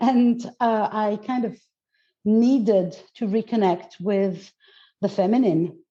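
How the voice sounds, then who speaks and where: Fairly even intonation in a dark, mellow tone, broken by long, frequent pauses. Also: woman, fairly high pitch for a woman, fairly slow pace. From Greece. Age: 50s. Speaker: mindset coach and goddess teacher. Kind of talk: interview conversation. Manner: halting, with many fillers and repetitions.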